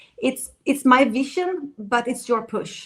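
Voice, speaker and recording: This is a woman speaking with a Swedish accent. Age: 50s. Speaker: dating coach. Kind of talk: interview.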